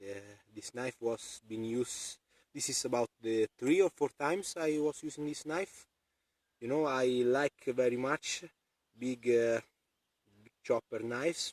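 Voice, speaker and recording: A medium-pitched male voice with a non-native accent, ordinary pitch variation, big swings in loudness and long, frequent pauses, in a dry, close sound with no echo. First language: not English. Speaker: outdoor knife reviewer. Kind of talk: product review demonstration. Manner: halting, many fillers.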